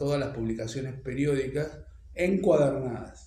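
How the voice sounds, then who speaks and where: A man with a Rioplatense accent at a medium pitch and moderate pace, with audible room echo and noticeable background noise. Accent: Argentine Rioplatense Spanish. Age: 70s. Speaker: archivist and researcher. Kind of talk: interview. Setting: at home. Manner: hesitant, many fillers.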